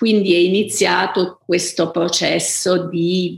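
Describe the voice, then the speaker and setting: Over noticeable background noise, a woman speaks very slowly at a fairly low pitch with monotone, flat intonation. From Abruzzo, Italy. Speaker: author, novelist. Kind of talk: interview, reflective talk about books and writing. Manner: hesitant, thoughtful, with frequent fillers.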